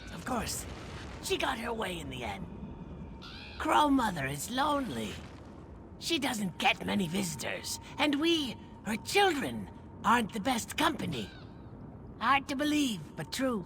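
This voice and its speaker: A put-on character voice at a fairly high pitch moves at a moderate pace with long, frequent pauses against clear background noise. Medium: video game. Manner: sly, gossiping.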